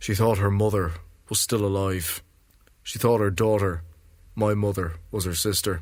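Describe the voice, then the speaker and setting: A somewhat breathy man speaks at a moderate pace with monotone, flat intonation. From Ireland. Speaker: poet and novelist. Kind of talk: literary prose reading.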